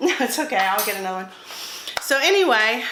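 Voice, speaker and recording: A woman speaks in a Southern US accent. Room echo is audible, along with noticeable background noise. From US South. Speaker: cooking YouTuber. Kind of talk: casual cooking vlog.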